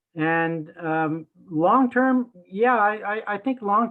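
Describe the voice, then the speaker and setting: A man speaks with a Canadian accent. His intonation is lively. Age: 60s. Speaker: municipal election candidate. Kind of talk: interview. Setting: remote audio recording. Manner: hesitant, many fillers. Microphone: poor internet connection.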